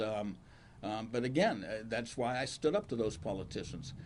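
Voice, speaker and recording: A man with an Ohio accent talks at a moderate pace and medium pitch, with audible room echo. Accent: Ohio American. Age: 70s. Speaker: county prosecutor. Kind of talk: press conference Q&A.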